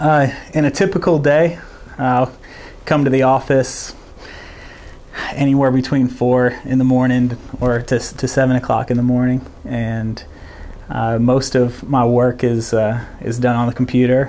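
A man speaks at a fairly slow pace with long, frequent pauses. His intonation is fairly even and his loudness very even. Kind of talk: interview answer. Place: meeting room. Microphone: lapel.

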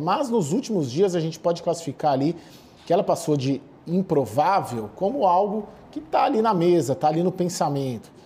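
A man talks with a high pitch. The intonation rises and falls in a lively way. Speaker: political correspondent. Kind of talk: live news report.

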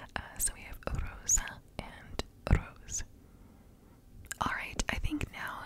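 A soft-spoken woman whispering amid loud background noise. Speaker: ASMR creator. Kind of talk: soft-spoken ASMR chat. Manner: soft close-mic ASMR whisper. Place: home room. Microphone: studio mic.

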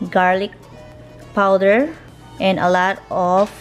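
Faint music plays in the background. A woman speaks at a very slow pace. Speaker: home cooking vlogger. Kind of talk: casual vlog chat. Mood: cheerful, enjoying food. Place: kitchen. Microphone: phone near.

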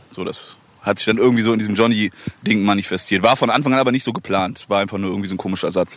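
The intonation stays fairly even. The sound is dry, with no echo. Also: man. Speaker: rapper. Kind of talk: casual interview. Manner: giggly. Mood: relaxed, joking. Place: waterside. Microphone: handheld.

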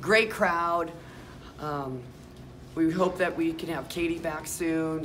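Over noticeable background noise, a woman speaks in a very deep, low pitch with fairly even intonation. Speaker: women's college basketball coach. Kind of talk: postgame interview. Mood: disappointed but composed. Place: hall. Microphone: phone near.

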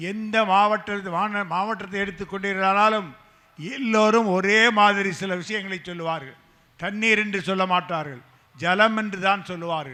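A man with a high-pitched voice talks in a raised, projected way with fairly even intonation, and room echo can be heard. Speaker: rationalist activist speaker. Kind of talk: political rally speech. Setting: stage with audience. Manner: fiery.

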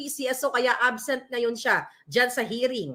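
A woman's raised, projected voice, high-pitched, with a bright, sharp tone and a very slow pace. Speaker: political vlogger / commentator. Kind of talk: angry rant. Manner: loud, furious, insulting tirade aimed at named politicians; urgent, emphatic, addressing listeners directly.

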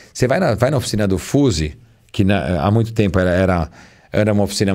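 In a quiet background, a man with a very deep, low pitch talks at a very fast pace with ordinary pitch variation. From Brazil. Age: 40s. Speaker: car magazine journalist. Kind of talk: casual chat. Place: studio. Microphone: studio mic.

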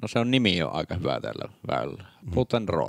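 The man's voice sits fairly low, with vocal fry and very wide pitch swings. The sound is dry and close, with no echo. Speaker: disc golf commentator and player.

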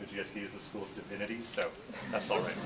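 Through noticeable background noise, a man speaks at a very fast pace. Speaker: course instructor. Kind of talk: lecture. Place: classroom.

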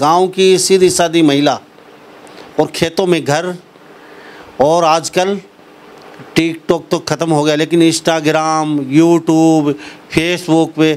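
A man with a fairly high pitch speaks very slowly in a flat, monotone delivery. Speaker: interviewer. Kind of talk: news channel interview. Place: home room. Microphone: handheld.

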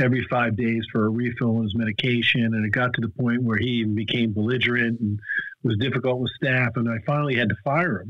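Recorded dry with no echo against a quiet background, the speech moves at a fairly quick pace with fairly even intonation. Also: man. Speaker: guest. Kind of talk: interview answer. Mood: reflective storytelling. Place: home room. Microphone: video call.

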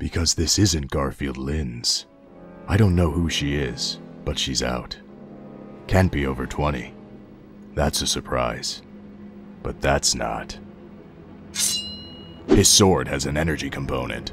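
In a put-on character voice, a man speaks very deep and low at a fairly slow pace. Clear background noise runs behind him. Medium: dub. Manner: terse, gravelly.

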